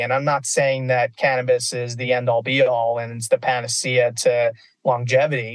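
A man is speaking. His pace is fairly slow. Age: 40s. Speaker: cannabis industry executive. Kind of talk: interview. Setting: on the road.

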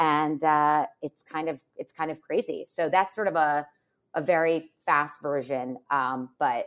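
A woman's very deep, low voice at a fairly slow pace, with ordinary pitch variation. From US Northeast (Westchester, New York). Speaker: literary agent. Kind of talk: casual interview chat. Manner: loud; animated, many fillers and restarts.

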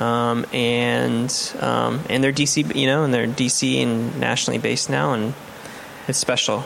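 Against noticeable background noise, a man speaks at a very even loudness. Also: fairly slow pace. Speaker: chef and podcast host. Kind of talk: interview.

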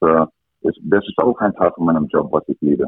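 Speaking with an English accent, a man keeps his intonation fairly even. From Canada, rural Alberta. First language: English (speaking German). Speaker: ice hockey coach. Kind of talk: interview.

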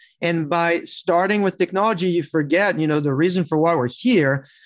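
A man with a French accent speaks at a high pitch and a moderate pace. His pitch variation is ordinary, and the background is quiet. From France. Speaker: tech executive. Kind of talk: interview.

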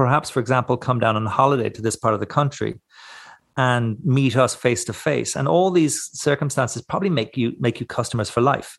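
In a Cork accent, a man speaks at a fairly quick pace with ordinary pitch variation against a quiet background. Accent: Irish, Cork. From Ireland, West Cork. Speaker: smoked meat producer and knife maker. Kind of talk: interview. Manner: halting, many repeated words.

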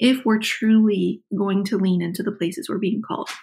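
On a very clean recording with a silent background, a somewhat breathy woman speaks at a moderate pace and medium pitch with ordinary pitch variation. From West Virginia. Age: 40s. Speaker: author. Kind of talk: interview conversation. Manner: animated.

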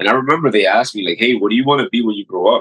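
A man with a New York accent at a very fast pace. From New York City, Queens. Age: 40s. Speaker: paramedic and physician. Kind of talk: casual interview.

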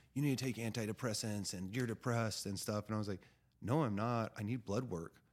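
In an American accent, a man with an unremarkable speaking voice talks at a fairly quick pace and fairly low pitch with fairly even intonation, recorded very cleanly against a silent background. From California. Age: 30s. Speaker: cannabis grower. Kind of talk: podcast interview.

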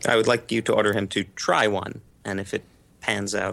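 A man's fairly low voice with vocal fry, at a fairly quick pace. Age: 30s. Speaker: adult son in a family dispute. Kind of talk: casual testimony.

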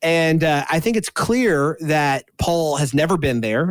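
Recorded with a dry, close sound and no echo, a man speaks with a Texan accent. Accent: Southeast Texan. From Southeast Texas. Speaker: podcast host. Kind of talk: casual discussion of Bible study.

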